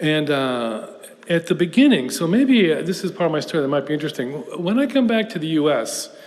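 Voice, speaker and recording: A man with an American accent at a fairly high pitch, very wide pitch swings, a moderate pace and audible room echo. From US South, Houston, Texas. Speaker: professor. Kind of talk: lecture. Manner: conversational with hesitations.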